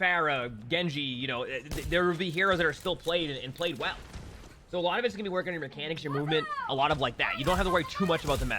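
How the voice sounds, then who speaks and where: A man with a fairly high pitch, ordinary pitch variation and a very fast pace, over noticeable background noise. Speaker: game streamer. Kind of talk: live stream chat, answering viewer question. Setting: live stream. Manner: casual, many fillers and repetitions.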